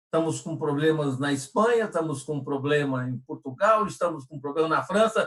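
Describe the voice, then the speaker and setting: A man talks at a moderate pace with hardly any pauses. His voice is fairly high, with ordinary pitch variation. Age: 60s. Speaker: personal development trainer. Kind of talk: live stream discussion. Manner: halting, many repetitions.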